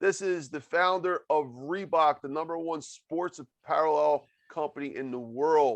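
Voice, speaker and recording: A man with a normal speaking voice, fairly high pitch and ordinary pitch variation, at a fairly slow pace with hardly any pauses, over a quiet background. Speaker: podcast host. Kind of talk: podcast interview hosting. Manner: upbeat.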